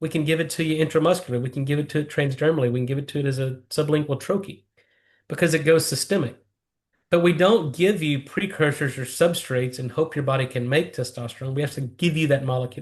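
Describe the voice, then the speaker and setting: The speech is very fast and somewhat breathy, with fairly even intonation. The background is quiet. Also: man, fairly high pitch for a man. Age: 50s. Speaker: nitric oxide researcher. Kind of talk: interview. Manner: fluent, technical explanations.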